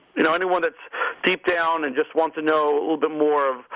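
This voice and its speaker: Speaking with a strong New York accent, a man keeps a fairly quick pace. His pitch is fairly high, with ordinary variation. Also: very even loudness. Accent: thick New York. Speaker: restaurant magazine publisher. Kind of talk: radio interview.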